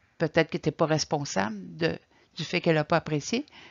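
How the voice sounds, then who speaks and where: A woman's very deep, low voice at a moderate pace against a quiet background. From Quebec. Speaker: caregiver support coordinator; presenter. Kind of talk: lecture. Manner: halting. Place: home room. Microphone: webcam.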